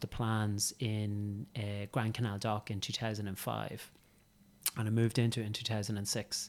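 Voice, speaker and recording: A man talks at a moderate pace and a medium pitch. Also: very clean recording, silent background. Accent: Irish. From County Meath, Ireland. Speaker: estate agent. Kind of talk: casual interview chat. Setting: in-person office studio. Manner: hesitant, many fillers.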